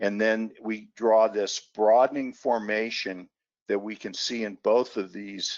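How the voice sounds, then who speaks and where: Here a man talks in an unremarkable speaking voice at a medium pitch, with fairly even intonation. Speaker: market analyst. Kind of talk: webinar presentation.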